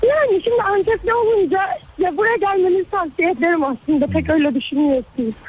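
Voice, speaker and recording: A woman's extremely high voice with very wide pitch swings and very even loudness, over noticeable background noise. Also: fairly quick pace. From Turkey, Gaziantep. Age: young. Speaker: radio caller. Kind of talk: phone-in chat.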